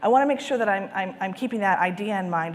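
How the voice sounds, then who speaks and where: A woman talks very fast at a medium pitch, her tone enthusiastic and her intonation lively, with audible echo in the room. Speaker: conference speaker on sales and marketing. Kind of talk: conference presentation. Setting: stage with live and virtual audience.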